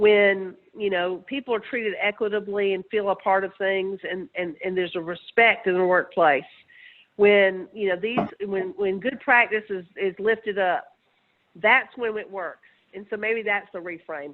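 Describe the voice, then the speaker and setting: A woman with a Southern US accent at a moderate pace. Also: medium pitch for a woman, ordinary pitch variation. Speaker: researcher. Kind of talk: webinar presentation. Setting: webinar.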